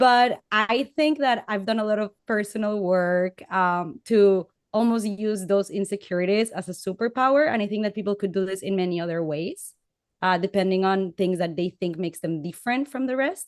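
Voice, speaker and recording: A woman with a Latin American accent speaks at a moderate pace and medium pitch, her pitch varying in an ordinary way, in a dry, close sound with no echo. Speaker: panelist. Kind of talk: panel discussion. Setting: webcast.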